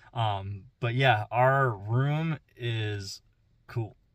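Somewhat breathy male speech with fairly even intonation and a dry sound with no echo. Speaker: travel vlogger. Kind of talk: casual vlog chat. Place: car. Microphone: phone near.

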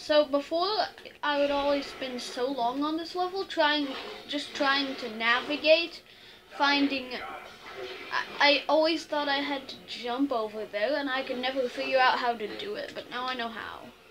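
With music in the background, a woman speaks at a moderate pace in a high pitch with ordinary pitch variation. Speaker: gamer. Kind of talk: casual gameplay commentary. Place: home room. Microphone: phone near.

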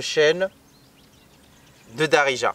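A man's voice with a fairly bright tone, ordinary pitch variation and a dry, close sound with no echo

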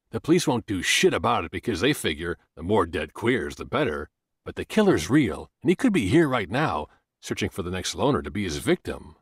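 A man's fairly low, somewhat breathy voice with very wide pitch swings at a fairly quick pace, dry and close with no echo, on a very clean recording with a silent background. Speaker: audiobook narrator. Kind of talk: dramatic audiobook narration of a dark murder mystery, voicing characters' dialogue. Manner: suspenseful, building tension as the serial killer rumors unfold; shifts into distinct character voices for bar patrons' heated argument.

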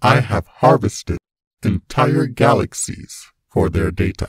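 A man does a robotic, put-on character voice at a fairly slow pace. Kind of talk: villain monologue. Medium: dub. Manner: cold, menacing.

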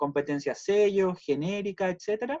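A high-pitched man with a Chilean accent and lively intonation, in a quiet background. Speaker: university school director; school staff member hosting the welcome. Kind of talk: virtual welcome meeting. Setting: video call. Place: home room. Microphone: video call.

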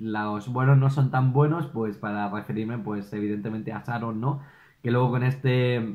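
There is quiet behind this man's voice. His pitch varies in an ordinary way as he talks at a moderate speed. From Spain. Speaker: YouTube film reviewer. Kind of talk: solo video review. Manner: animated. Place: home room.

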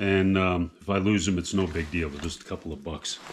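Over light background noise, a man talks at a moderate pace with a fairly low pitch. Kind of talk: casual show-and-tell tutorial. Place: home room. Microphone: camera far.

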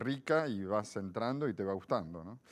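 A man with a normal speaking voice and fairly low pitch talks at a moderate pace with lively intonation. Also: quiet background. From Argentina, Buenos Aires. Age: 50s. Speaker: philosopher; interview guest. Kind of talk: interview. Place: studio. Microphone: lapel.

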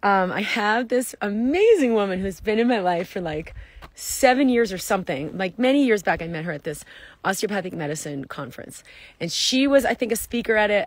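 With lively intonation, a woman speaks at a fairly quick pace in a dry sound with no echo. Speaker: wellness coach. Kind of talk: casual vlog chat. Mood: enthusiastic, upbeat. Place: open country. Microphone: phone near.

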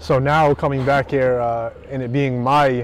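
A man talks with fairly even intonation. Light background noise is present, and the sound is dry with no echo. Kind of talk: interview answer. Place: stadium. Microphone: lapel.

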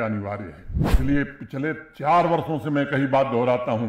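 The speech moves at a fairly slow pace with audible room echo. Light background noise sits underneath. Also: man. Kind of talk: public speech. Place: hall. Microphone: podium.

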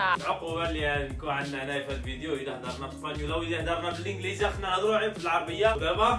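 A man with a fairly high voice talks at a very fast pace with very wide pitch swings and hardly any pauses, while music plays clearly in the background. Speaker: vlogger. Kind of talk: casual vlog talk. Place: home room. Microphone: phone near.

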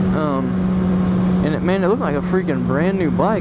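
At a moderate pace, the speech comes through loud background noise in a dry sound with no echo. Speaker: motorcycle vlogger. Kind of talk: casual vlog chat. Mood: excited, relaxed. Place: motorbike. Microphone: helmet.

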